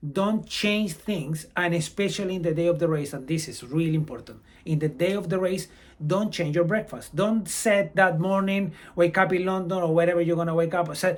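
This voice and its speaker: A man speaks with a Brazilian accent and a high pitch. His intonation is fairly even. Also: moderate pace. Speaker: amateur runner and running vlogger. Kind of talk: advice vlog.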